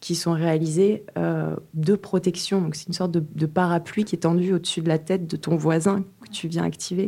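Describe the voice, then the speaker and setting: A dark, mellow tone at a fairly slow pace, with fairly even intonation. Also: woman. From French Catalonia. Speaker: visual artist. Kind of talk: interview. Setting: hotel room. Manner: halting.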